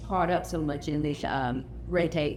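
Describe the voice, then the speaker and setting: A woman with an American accent speaks at a moderate pace, with audible room echo and noticeable background noise. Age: old. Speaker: family reunion speaker. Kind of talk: casual talk to a gathering. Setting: family reunion gathering. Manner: halting, many fillers.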